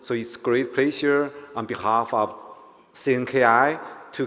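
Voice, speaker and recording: A man with a Chinese accent and fairly even intonation. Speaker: conference speaker, company executive. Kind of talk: conference speech. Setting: conference hall with audience.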